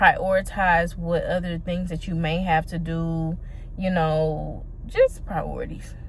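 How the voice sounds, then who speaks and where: Fairly low in pitch with fairly even intonation, the woman has an unremarkable speaking voice. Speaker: small business owner vlogger. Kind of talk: casual vlog monologue.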